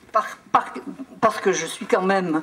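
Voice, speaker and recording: Over noticeable background noise, a woman speaks at a fairly slow pace with a medium pitch. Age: 80s+. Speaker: traditional singer. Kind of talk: speech to audience.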